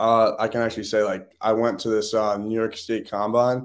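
Fairly quick and fairly low in pitch, a man speaks with an American accent. The recording is very clean, with a silent background. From Massachusetts. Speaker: high school football recruit. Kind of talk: interview.

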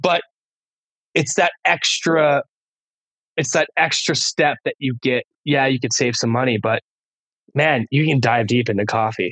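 A fairly slow, medium-pitched man with an American accent, long and frequent pauses, very even loudness, and a dry, close sound with no echo. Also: ordinary pitch variation. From California. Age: 30s. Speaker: music producer and DJ. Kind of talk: casual chat. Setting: at home, remote call.

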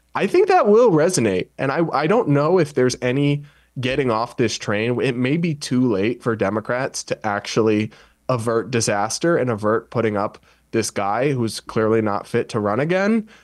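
A man with an unremarkable speaking voice talks at a moderate pace over a quiet background. His pitch is medium and his intonation lively. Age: 20s. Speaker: journalist and podcaster. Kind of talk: panel discussion.

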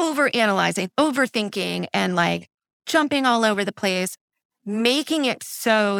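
A woman at a fairly slow pace, in a dry, close sound with no echo and a very clean recording with a silent background. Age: 40s. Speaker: coaching client. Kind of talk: candid interview about personal life.

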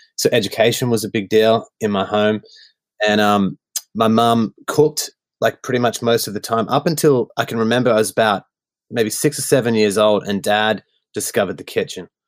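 Speaking at a fairly quick pace with an Australian accent, a man uses a medium pitch and ordinary pitch variation in a dry, close sound with no echo. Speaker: worship songwriter. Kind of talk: casual chat. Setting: video call.

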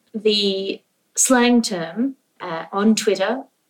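Speaking with an Australian accent at a very slow pace, a woman uses a fairly high pitch. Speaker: comedian and podcast host. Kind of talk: casual comedy game show banter. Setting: remote recording from Australia.

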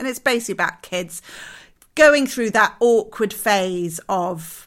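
A woman speaks at a fairly slow pace in a British accent. The recording is very clean, with a silent background. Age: 40s. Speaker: interiors podcast co-host. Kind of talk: casual chat.

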